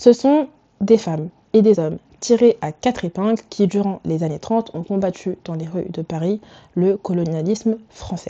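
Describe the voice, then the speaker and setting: At a moderate pace, a woman with a medium pitch speaks in a dark, mellow tone, with ordinary pitch variation and big swings in loudness. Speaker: fashion and culture YouTuber. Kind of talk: video essay commentary. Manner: casual, switches to English asides.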